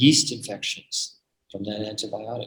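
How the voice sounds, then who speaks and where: A man is speaking in a somewhat breathy voice. His pitch varies in an ordinary way. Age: 70s. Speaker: medical doctor giving product presentation. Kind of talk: online presentation with Q&A. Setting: video call. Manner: animated.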